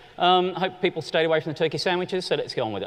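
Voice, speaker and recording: An animated man talks with an Australian accent. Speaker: conference keynote speaker. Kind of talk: keynote presentation. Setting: stage with audience.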